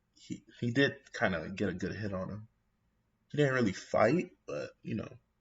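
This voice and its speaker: Lively intonation marks this somewhat breathy voice, which holds a moderate pace. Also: man, medium pitch for a man. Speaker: anime YouTuber. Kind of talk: casual commentary. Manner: mumbling, halting.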